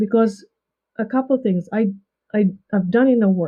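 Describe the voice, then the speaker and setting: A woman with a non-native accent speaks at a fairly high pitch, her intonation lively. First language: not English. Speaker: leadership coach and author. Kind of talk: podcast interview. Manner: halting.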